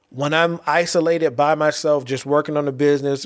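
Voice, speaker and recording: A man with a fairly high pitch and an American accent, fairly even in intonation, in a very clean recording with a silent background. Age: 40s. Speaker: podcast host and poet. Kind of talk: solo monologue podcast. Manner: halting, many fillers and repetitions.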